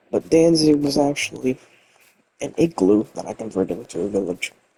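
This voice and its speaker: The sound is dry and close, with no echo. A man speaks in a fairly high pitch with vocal fry. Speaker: gaming video creator. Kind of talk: gameplay commentary. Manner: halting.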